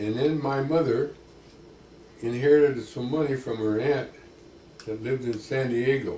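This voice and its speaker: With noticeable background noise behind him, a man at a medium pitch speaks in fairly even intonation, leaving long, frequent pauses. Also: moderate pace. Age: 80s+. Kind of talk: interview answer.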